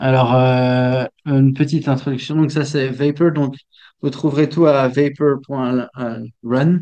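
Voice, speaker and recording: Speaking at a fairly slow pace, a man with a medium-pitched voice and a dark, mellow tone delivers his words in a flat monotone. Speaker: software developer. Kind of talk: technical talk. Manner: halting, many fillers and repetitions.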